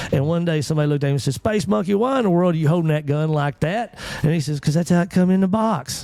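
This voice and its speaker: Talking in a Texan accent at a very fast pace with hardly any pauses, a man uses a fairly high pitch, ordinary pitch variation, an animated tone and very even loudness over noticeable background noise. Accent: Texan rural. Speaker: morning show host. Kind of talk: casual chat.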